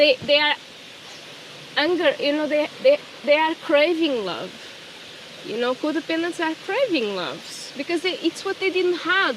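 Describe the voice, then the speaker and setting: In a Portuguese accent, a woman speaks at a moderate pace with an extremely high pitch and very wide pitch swings. Long, frequent pauses break her speech, and background noise is noticeable. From Portugal. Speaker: spiritual coach. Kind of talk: personal vlog. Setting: outdoors. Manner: halting.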